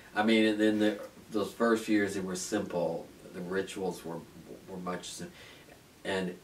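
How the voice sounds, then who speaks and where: A flat, monotone delivery in an American accent. Light background noise sits behind it. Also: man. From US Midwest, northwest Ohio. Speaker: oral history interviewee; interviewee. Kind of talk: oral history interview. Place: home room.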